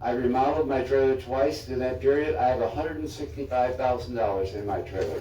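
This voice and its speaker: Room echo can be heard along with noticeable background noise. A man with a medium-pitched voice talks at a fairly quick pace. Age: 80s+. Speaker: trailer park resident speaking at public comment. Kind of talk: public comment at city meeting. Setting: city commission chambers.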